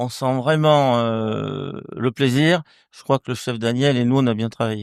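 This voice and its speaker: A man with a slight Marseille accent speaks at a fairly slow pace with ordinary pitch variation, in dry, close sound with no echo on a very clean recording with a silent background. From southern France, near Marseille. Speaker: winemaker. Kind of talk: casual interview. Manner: halting, many repetitions.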